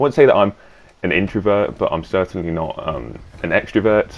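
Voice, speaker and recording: Very fast speech from a man with a fairly low pitch. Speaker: gaming youtuber. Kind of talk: gameplay commentary. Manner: halting.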